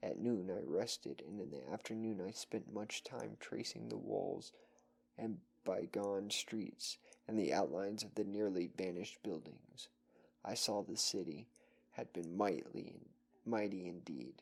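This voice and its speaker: A soft-spoken man's fairly low voice with vocal fry, lively intonation and a fairly slow pace. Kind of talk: horror story reading.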